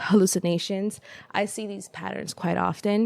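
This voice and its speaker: A woman talks with a Spanish accent. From El Salvador. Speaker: podcast guest. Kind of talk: casual conversation. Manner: hesitant, many fillers.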